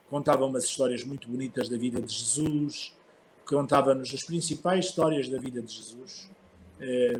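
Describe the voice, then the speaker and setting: A man's plain, everyday voice at medium pitch, with fairly even intonation and a moderate pace. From northern Portugal (Barcelos), childhood partly in Mozambique. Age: 60s. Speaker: archbishop. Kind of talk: interview, personal life story.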